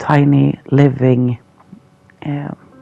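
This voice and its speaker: Someone with a non-native accent speaks at a very slow pace. Noticeable background noise fills the recording. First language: neither English nor Swedish. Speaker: gaming YouTuber. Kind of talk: gameplay voiceover. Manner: hesitant, uncertain.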